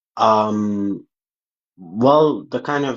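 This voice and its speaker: This man has a non-native accent and a fairly low pitch. His pitch variation is ordinary. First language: not English. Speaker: caller. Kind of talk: heated debate. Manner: halting, hesitant.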